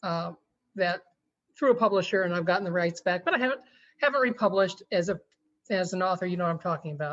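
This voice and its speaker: Against a quiet background, a woman with an American accent speaks at medium pitch with ordinary pitch variation and long, frequent pauses. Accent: slight Oklahoma-Texas drawl. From Texas, Army brat. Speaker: romance author. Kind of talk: interview. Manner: halting, many fillers.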